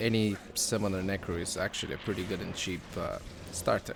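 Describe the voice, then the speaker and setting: A man speaks with a non-native accent at a moderate pace. His pitch is fairly low. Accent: non-native English accent, noticeable. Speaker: gaming YouTuber. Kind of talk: casual gaming commentary. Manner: hesitant, many fillers.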